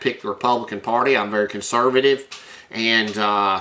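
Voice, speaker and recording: With a Tennessee accent, a man speaks at medium pitch. His intonation is fairly even, and there is noticeable background noise. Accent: Southern US (Tennessee). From US South, rural Tennessee. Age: 60s. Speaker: high school science teacher and vlogger. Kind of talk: casual personal bio monologue. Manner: halting, many fillers.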